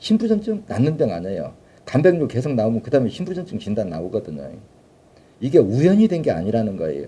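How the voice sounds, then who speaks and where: A man's dark, mellow tone with vocal fry at a medium pitch, very wide pitch swings, and a fairly quick pace. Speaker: alternative health therapy founder and lecturer. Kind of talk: live lecture. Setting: live stream. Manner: fast.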